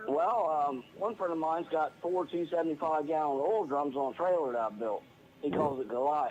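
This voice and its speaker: This man has an unremarkable speaking voice, fairly high in pitch, with very even loudness, ordinary pitch variation and a moderate pace. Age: 60s. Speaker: caller, retired welder. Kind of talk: phone-in chat.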